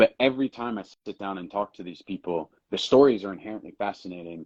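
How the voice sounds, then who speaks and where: Speaking very fast in an American accent, a man with a fairly low pitch shows ordinary pitch variation and big swings in loudness, the sound dry and close with no echo. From Jacksonville, Florida. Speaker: actor. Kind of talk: interview answer. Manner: casual, candid.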